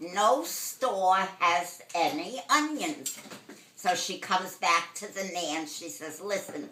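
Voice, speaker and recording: A woman with a Brooklyn accent speaks at a very slow pace, with very wide pitch swings and big swings in loudness. Noticeable background noise can be heard. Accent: old-school New York (Brooklyn). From Brooklyn, New York, USA. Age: 80s+. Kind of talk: telling a joke.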